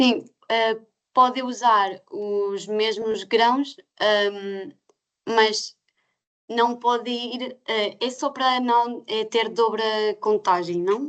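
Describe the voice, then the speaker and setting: Using a fairly high pitch with ordinary variation, a woman speaks at a very slow pace with long, frequent pauses. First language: not Portuguese (speaking Portuguese). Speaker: certification scheme representative. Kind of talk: webinar Q&A answers. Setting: online webinar. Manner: halting, many hesitations.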